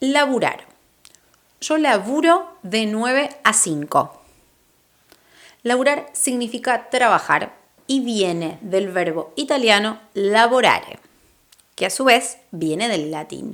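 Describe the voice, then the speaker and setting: Very slow and full of long, frequent pauses, a woman with an Argentine accent speaks at a fairly high pitch in an upbeat tone with very wide pitch swings. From Argentina. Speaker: Spanish teacher. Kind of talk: language lesson to camera. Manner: friendly, upbeat.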